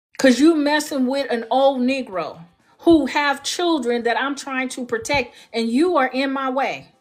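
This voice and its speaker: An animated tone at a fairly slow pace, ordinary pitch variation, and music in the background. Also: woman, high pitch for a woman. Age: 60s. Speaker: heritage club ambassador. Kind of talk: impassioned monologue. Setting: livestream call.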